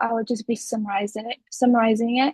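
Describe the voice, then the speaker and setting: A fairly high-pitched woman's voice with a non-native accent, ordinary pitch variation, and a dry, close sound with no echo. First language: not English. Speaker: university student. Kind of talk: class presentation. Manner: halting, with fillers.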